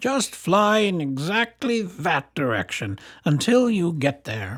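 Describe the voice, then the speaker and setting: A man uses a put-on character voice that is croaky and high-pitched, with very wide pitch swings. He speaks at a fairly slow pace on a very clean recording with a silent background. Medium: read story.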